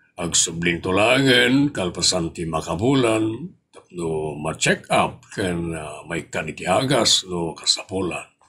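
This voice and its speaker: With a very deep, low pitch and a calm tone, a man talks at a fairly slow pace. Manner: calm, advising.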